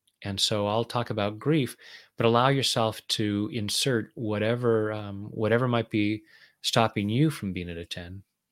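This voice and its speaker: On a very clean recording with a silent background, a man with an ordinary speaking voice talks at a fairly low pitch with fairly even intonation. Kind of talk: guided meditation (tapping round). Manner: calm, slow, soothing, gentle.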